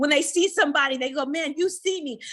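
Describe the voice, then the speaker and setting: Loud and projected, a high-pitched woman with an American accent speaks in a bright, sharp, animated tone. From Antelope Valley, Southern California. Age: 40s. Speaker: pastor's wife and author. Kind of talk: speech at community event. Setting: ribbon cutting event with audience.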